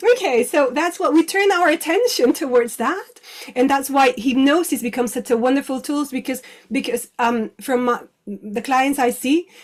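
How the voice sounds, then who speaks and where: The speaker has a Spanish accent. The pitch varies an ordinary amount. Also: woman, high pitch for a woman, moderate pace. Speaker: clinical hypnotherapist. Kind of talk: interview. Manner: halting.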